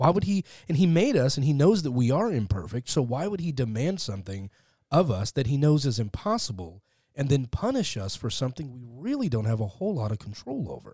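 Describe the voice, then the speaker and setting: A man with a dark, mellow tone and medium pitch speaks fairly quickly in a somewhat breathy voice, swinging very widely in pitch, on a very clean recording with a silent background. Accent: American. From Texas, Fort Worth. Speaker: atheist podcaster. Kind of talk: conversational interview. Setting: studio.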